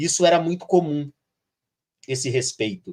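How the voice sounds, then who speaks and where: Somewhat breathy, a man speaks at a moderate pace. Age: 50s. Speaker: teacher. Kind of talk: live stream conversation. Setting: live stream. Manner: frequent fillers like tá and né.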